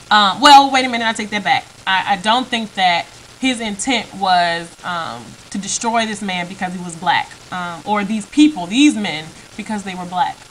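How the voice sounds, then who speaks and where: Amid noticeable background noise, a woman talks at a medium pitch with ordinary pitch variation and big swings in loudness. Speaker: video blogger. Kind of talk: opinion vlog monologue. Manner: fast; halting, many fillers.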